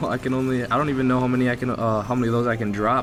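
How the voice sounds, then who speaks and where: A man talks at a very fast pace with a medium pitch. Music plays in the background. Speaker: gaming youtuber. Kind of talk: gameplay commentary. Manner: casual, halting with restarts.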